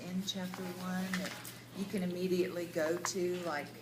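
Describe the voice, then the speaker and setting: A woman speaks at medium pitch. Audible room echo and noticeable background noise surround her voice. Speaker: Bible study group leader. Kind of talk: group discussion. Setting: cafe. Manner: loud.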